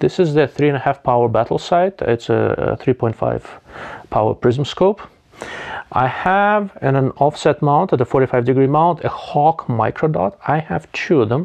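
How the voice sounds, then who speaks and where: A man talks at a fairly slow pace. The background is quiet. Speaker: gear reviewer. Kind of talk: review commentary. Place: home room. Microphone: lapel.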